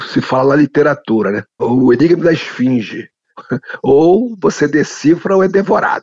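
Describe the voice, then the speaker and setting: A man with a plain, everyday voice speaks in a fairly high pitch. His pace is fairly slow and his intonation lively. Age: 60s. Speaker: anthropologist, professor. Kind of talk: interview.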